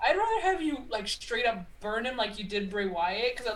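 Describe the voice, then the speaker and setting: A woman speaks at a fairly quick pace with lively intonation and a fairly high pitch, over noticeable background noise. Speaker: wrestling podcast co-host. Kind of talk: casual chat.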